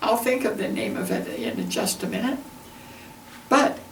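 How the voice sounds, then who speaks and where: A woman speaks at a fairly slow pace with an American accent. Noticeable background noise runs behind her. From Entiat, Washington. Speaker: retired teacher. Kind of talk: oral history interview answer.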